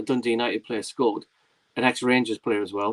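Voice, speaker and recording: At a fairly quick pace, a man with a Geordie accent speaks in a dry, close sound with no echo. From northern England, Tyneside (Whitley Bay/North Shields). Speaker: film YouTuber and livestream host. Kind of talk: casual chat. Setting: livestream. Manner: fast.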